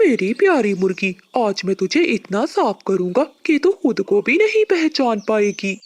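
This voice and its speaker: A cartoonish character voice with fairly high pitch moves at a fairly slow pace with hardly any pauses. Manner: boastful, scheming.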